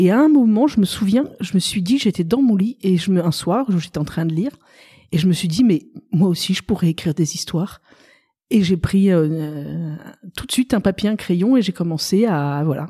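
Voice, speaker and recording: A woman's somewhat breathy, dark, mellow tone with lively intonation. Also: medium pitch for a woman, moderate pace, very clean recording, silent background. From Paris, France. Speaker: novelist. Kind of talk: interview.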